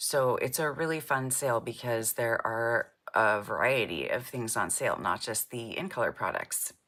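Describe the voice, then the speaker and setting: In a very clean recording with a silent background, a woman speaks at a moderate pace with a very deep, low pitch and ordinary pitch variation. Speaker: card-making demonstrator. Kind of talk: live craft tutorial. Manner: casual, chatty.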